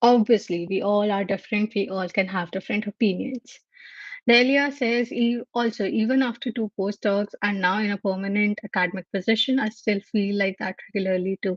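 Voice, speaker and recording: Speaking with an Indian accent, a woman has a medium pitch and a somewhat breathy voice, heard in a dry, close sound with no echo. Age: 20s. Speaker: livestream host, microbiology researcher. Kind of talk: casual livestream chat. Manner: halting.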